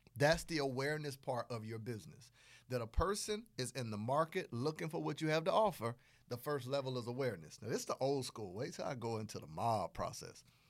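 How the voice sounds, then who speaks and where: A man talks at a fairly quick pace in an animated tone, his pitch swinging very widely. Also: medium pitch for a man. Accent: Southern US. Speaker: podcast host, business coach. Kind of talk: tutorial, podcast monologue. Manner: animated, conversational.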